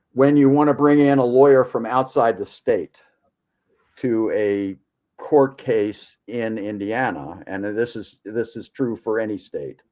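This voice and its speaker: In a very clean recording with a silent background, a man speaks at a fairly slow pace with a medium pitch, ordinary pitch variation and a dark, mellow tone. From US, Baltimore. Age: 70s. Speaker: retired professor and researcher. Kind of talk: podcast interview. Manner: halting, many repetitions.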